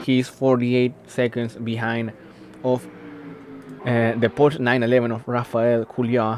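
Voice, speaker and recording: A man at medium pitch with a non-native accent, fairly slow and broken by long, frequent pauses, over noticeable background noise. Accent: non-native English pronunciation. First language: not English. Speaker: race commentator. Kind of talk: live commentary. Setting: livestream. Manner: halting, many fillers.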